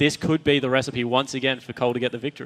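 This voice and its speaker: The speech comes at a very fast pace. It carries an Australian accent. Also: man. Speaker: esports commentator. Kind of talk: live commentary.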